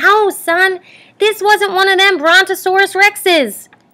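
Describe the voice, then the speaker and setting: A woman uses a put-on character voice, squeaky and extremely high in pitch. She talks at a fairly slow pace. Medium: read story. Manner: dramatic, folksy.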